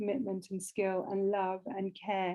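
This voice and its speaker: A woman's dark, mellow tone with a British accent, at a moderate pace. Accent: British, non-Canadian. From Britain. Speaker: humanitarian lawyer and nonprofit director. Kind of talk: interview conversation.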